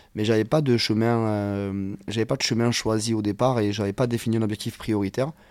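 Fairly even in intonation, an unremarkable speaking voice keeps up a fairly quick pace. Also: man, fairly low pitch for a man. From southern France, Hérault (Occitanie). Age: 30s. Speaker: former rugby referee, now rugby coach. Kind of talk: casual interview.

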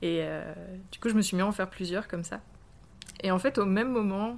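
A woman speaks at a fairly quick pace in an unremarkable speaking voice. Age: 30s. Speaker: street artist. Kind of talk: interview.

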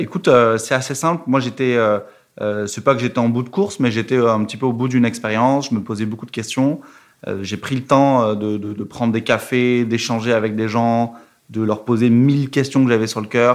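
A man speaks at a moderate pace and medium pitch with fairly even intonation against a quiet background. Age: 20s. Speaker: revenue operations manager at a fintech. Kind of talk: casual interview. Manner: hesitant, many fillers.

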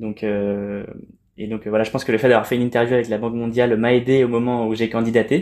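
A man's medium-pitched voice, dark and mellow in tone, stays monotone and flat in a very clean recording with a silent background. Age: 20s. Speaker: traveler, climate ambassador. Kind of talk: casual interview. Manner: halting, many repetitions.

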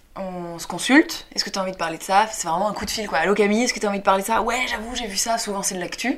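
Noticeable background noise behind a woman's medium-pitched voice, very fast with hardly any pauses and ordinary pitch variation. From Paris suburbs, France. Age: 20s. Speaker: actress and comedian. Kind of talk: casual interview chat.

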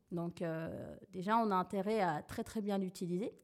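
A woman speaks at a moderate pace in a medium pitch, her tone dark and mellow with ordinary pitch variation. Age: 30s. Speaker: digital marketing consultant. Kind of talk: interview.

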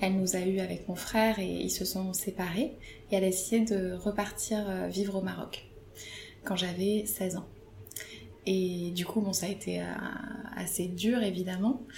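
A woman at a fairly slow pace with long, frequent pauses, amid audible room echo and noticeable background noise. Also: medium pitch for a woman, fairly even intonation. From Paris suburbs, France. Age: 30s. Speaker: photographer. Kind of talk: interview.

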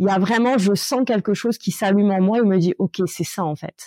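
On a very clean recording with a silent background, a woman with a dark, mellow tone speaks at medium pitch and a moderate pace, with ordinary pitch variation. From Corsica, Ajaccio. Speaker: lawyer and coach. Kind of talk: interview. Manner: hesitant, many fillers.

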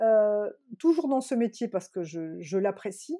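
A woman's dark, mellow tone on a very clean recording, silent in the background, with a dry, close sound and no echo. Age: 50s. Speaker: real estate agent. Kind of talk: interview. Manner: halting.

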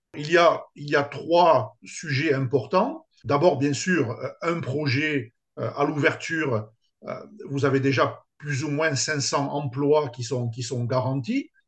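A somewhat breathy voice moves along very slowly. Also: man, fairly high pitch for a man, ordinary pitch variation. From France, Toulouse. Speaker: sports complex entrepreneur. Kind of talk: interview. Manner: halting.

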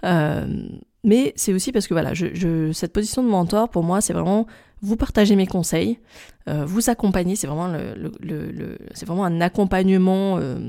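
Recorded very cleanly against a silent background, a woman speaks at a moderate pace. Her dark, mellow voice is fairly low, with ordinary pitch variation. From France, Grenoble area. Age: 30s. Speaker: podcast host, tourism marketing consultant. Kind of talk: solo monologue podcast. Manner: hesitant, many fillers and repetitions.

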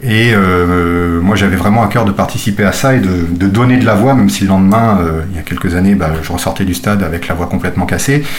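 A man with a fairly low pitch speaks at a fairly quick pace with ordinary pitch variation. Noticeable background noise and audible room echo surround him. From France, Nantes area. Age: 30s. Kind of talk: interview. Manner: hesitant, many fillers.

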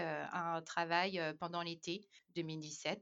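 A woman's voice at a fairly low pitch. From Madagascar. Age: 30s. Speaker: expatriate mother. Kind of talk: casual interview conversation. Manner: halting, many hesitations.

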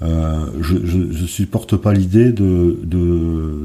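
Speaking at a very slow pace, a man uses a very deep, low pitch and a dark, mellow tone with fairly even intonation. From northern France, Dunkirk area. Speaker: wine consultant and winemaker. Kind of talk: interview.

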